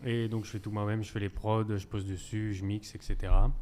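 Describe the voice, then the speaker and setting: The voice is an ordinary speaking voice. It moves at a moderate pace with fairly even intonation. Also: man. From northern France, Boulogne-sur-Mer. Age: 20s. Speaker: rapper. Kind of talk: casual interview.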